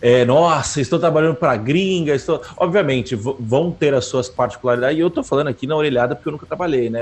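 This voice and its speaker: Music plays behind a man whose fairly high voice carries lively intonation. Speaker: podcast co-host, programmer. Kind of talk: casual chat. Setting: home studio, live stream.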